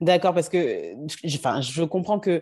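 A woman's fairly low, dark, mellow voice, fairly even in intonation and fairly slow in pace, against a quiet background. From West Africa. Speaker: podcast host. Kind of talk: scripted narration; interview.

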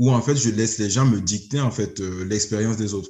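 At a moderate pace, a man talks in a somewhat breathy voice whose pitch varies in an ordinary way. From Burkina Faso. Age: 30s. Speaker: engineer and entrepreneur. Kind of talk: interview. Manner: hesitant, many fillers.

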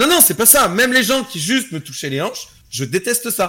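A man projects a raised voice with a bright, sharp tone and very wide pitch swings. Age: 20s. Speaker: streamer. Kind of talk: casual chat.

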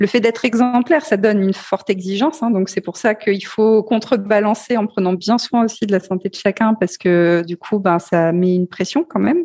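A woman talks at a fairly quick pace with hardly any pauses, at a medium pitch and ordinary pitch variation, in a dry, close sound with no echo. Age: 40s. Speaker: entrepreneur and CEO in digital accessibility. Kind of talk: interview. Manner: hesitant, many fillers.

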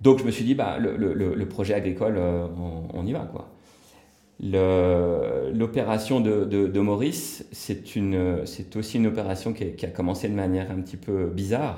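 In a room with audible echo, a man speaks fairly slowly with a fairly low pitch and ordinary pitch variation. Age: 40s. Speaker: real estate developer and entrepreneur. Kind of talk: casual interview. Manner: hesitant, many filler words.

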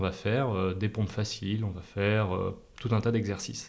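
A man with a fairly low pitch sounds somewhat breathy. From Massif Central, France (Clermont-Ferrand). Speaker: entrepreneur and adventurer. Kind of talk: interview. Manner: hesitant with filler repetitions.

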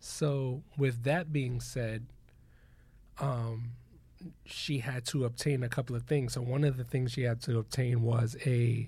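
Somewhat breathy and dark, mellow in tone, a man speaks at a medium pitch and a fairly slow pace with fairly even intonation. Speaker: podcast host. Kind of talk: casual chat.

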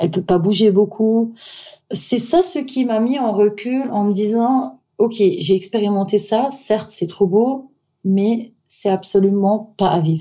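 A woman with a dark, mellow tone, somewhat breathy, fairly high pitch, ordinary pitch variation and a very slow pace. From Syria and Austria. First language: not French (speaking French). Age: 30s. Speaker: wedding planner. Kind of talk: interview. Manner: halting.

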